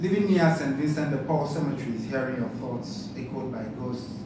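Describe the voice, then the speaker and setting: Noticeable background noise and audible room echo around a male voice, its pitch varying in an ordinary way. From Nigeria. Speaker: poet. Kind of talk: poetry reading. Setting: stage with audience.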